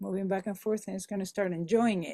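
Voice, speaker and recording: Someone with a Spanish accent is heard on a very clean recording with a silent background. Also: woman. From Venezuela. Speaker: musician, Spanish teacher, voiceover artist. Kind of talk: podcast interview answer. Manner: energetic.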